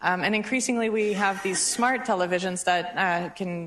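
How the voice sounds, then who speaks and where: At a fairly quick pace, a woman speaks with medium pitch and fairly even intonation. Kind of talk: panel Q&A. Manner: fast.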